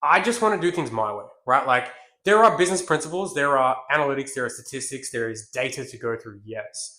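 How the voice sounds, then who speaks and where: Speaking very fast with an Australian accent, a man with a fairly high pitch sounds animated and bright, sharp in tone, with very wide pitch swings. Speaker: business coach. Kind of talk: business tutorial. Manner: aggressive, animated.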